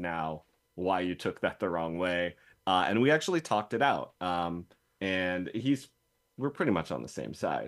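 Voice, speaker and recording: In a normal speaking voice, a man with a fairly low pitch and ordinary pitch variation talks at a fairly slow pace on a very clean recording with a silent background. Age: 40s. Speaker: podcast co-host. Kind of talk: casual chat.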